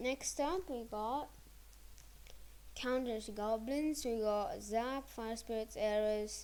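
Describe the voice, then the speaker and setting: Soft-spoken and fairly high in pitch, a woman speaks at a very slow pace with ordinary pitch variation and long, frequent pauses. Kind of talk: video game card explanation voiceover. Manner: quiet, soft-spoken; hesitant, many filler words.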